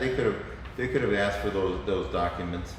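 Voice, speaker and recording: Noticeable background noise and audible room echo come through as a man talks. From Cuba. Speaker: lawyer. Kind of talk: political discussion. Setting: live stream.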